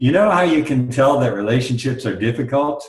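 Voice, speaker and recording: Somewhat breathy, a man speaks with an American accent. Audible room echo is present. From US. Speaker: workshop leader. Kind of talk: interview.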